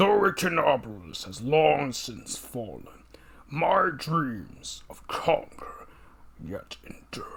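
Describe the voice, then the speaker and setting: A man puts on a character voice. He speaks at a fairly high pitch and a fairly slow pace. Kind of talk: formal, grandiloquent. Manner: intimidating.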